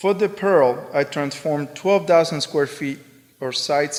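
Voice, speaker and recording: Speaking with a Spanish accent, a man keeps a moderate pace. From Spain. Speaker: artist. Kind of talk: lecture. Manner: monotone.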